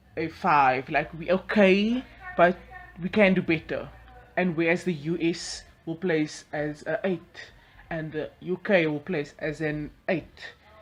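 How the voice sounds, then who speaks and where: A woman talks at a very slow pace with fairly even intonation and a fairly low pitch. Noticeable background noise is present. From South Africa. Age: young. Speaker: YouTuber. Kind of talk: casual vlog monologue.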